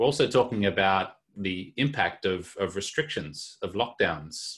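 A man with an unremarkable speaking voice talks at a moderate pace, fairly low in pitch, with ordinary pitch variation. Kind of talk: webinar panel talk.

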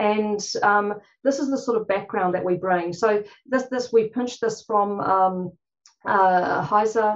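With a New Zealand accent, a woman speaks at a fairly high pitch with ordinary pitch variation. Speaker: clinician, conference panel speaker.

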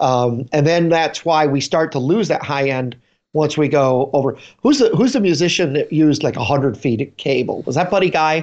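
A man speaks in an unremarkable speaking voice, fairly high in pitch with ordinary pitch variation. His pace is moderate and the background is quiet. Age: 50s. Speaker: guitar podcast co-host. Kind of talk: casual chat. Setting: video call.

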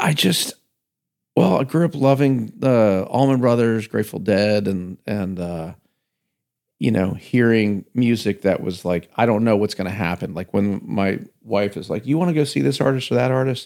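A man's ordinary speaking voice, fairly low-pitched, at a moderate pace with lively intonation, on a very clean recording with a silent background. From Northern Virginia, US. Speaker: singer-songwriter. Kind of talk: casual chat.

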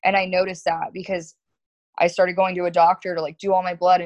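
With an American accent, a woman talks at a fairly quick pace in a medium pitch, an ordinary speaking voice. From South Florida. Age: 20s. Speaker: florist and business owner. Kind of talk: casual chat.

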